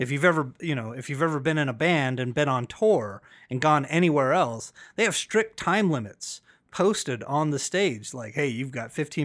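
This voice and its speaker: A fairly high-pitched man with lively intonation at a fairly quick pace, on a very clean recording with a silent background. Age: 40s. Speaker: wrestling podcast host. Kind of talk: casual chat.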